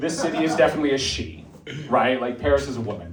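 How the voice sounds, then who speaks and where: With an American accent, a man speaks at a medium pitch amid audible room echo. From United States. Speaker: stand-up comedian. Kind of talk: stand-up. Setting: stage with audience.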